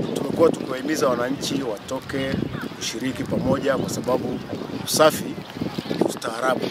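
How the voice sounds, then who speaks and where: Amid loud background noise, a man talks at a moderate pace with ordinary pitch variation, the sound dry with no echo. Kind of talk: interview answer. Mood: earnest, civic appeal. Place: open country.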